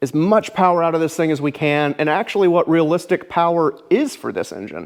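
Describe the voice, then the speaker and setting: A man talks in a fairly high pitch with ordinary pitch variation. His tone is animated. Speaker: car builder and video host. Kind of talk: casual vlog update. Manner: fast.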